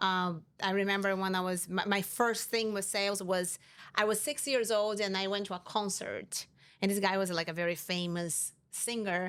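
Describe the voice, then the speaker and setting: A woman with a Brazilian Portuguese accent and fairly even intonation, in a very clean recording over a silent background. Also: medium pitch for a woman, moderate pace. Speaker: insurance company CEO. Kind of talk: interview.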